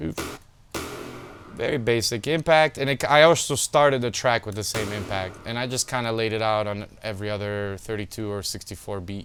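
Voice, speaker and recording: With music in the background, a man with a non-native accent speaks at a fairly low pitch. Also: ordinary pitch variation, moderate pace. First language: not English. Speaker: music producer. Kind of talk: tutorial. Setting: home studio. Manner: casual.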